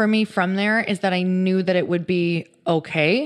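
A woman with an American accent and medium pitch speaks at a moderate pace with ordinary pitch variation in an unremarkable speaking voice. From US Midwest. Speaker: author and fitness entrepreneur. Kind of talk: casual interview. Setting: in person at her home.

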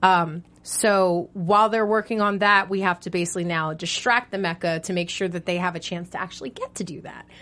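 A woman at a medium pitch with a bright, sharp tone, fairly even intonation and a fairly quick pace. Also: hardly any pauses. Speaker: TV after-show host. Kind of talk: casual chat.

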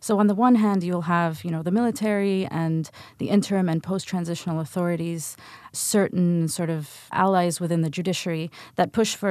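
This woman has a plain, everyday voice with a fairly low pitch and fairly even intonation. She talks at a fairly quick pace over a quiet background. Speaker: policy researcher. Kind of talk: interview.

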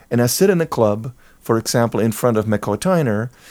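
A man speaks at a moderate pace with a dark, mellow tone, medium pitch and lively intonation. The recording is very clean, with a silent background. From Germany, near Cologne. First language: German. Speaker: jazz musician and composer. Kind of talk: casual interview.

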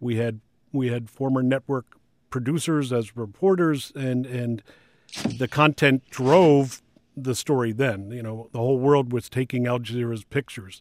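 A man with a medium-pitched, unremarkable speaking voice talks at a moderate pace with fairly even intonation, in a very clean recording with a silent background and a dry, close sound with no echo. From Washington, D.C. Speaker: TV news executive. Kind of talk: interview.

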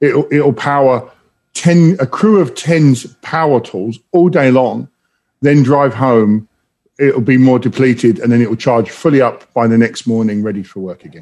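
A man with an English accent and a dark, mellow tone speaks at a moderate pace in a medium pitch, with lively intonation and big swings in loudness. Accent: English accent noticeable. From London, England. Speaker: automotive executive. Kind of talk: interview.

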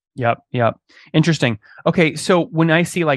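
The speaker has a plain, everyday voice, with ordinary pitch variation. The background is quiet. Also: man, dry, close sound with no echo. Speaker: podcast host and interviewer. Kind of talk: business interview with ad read. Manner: fast talker.

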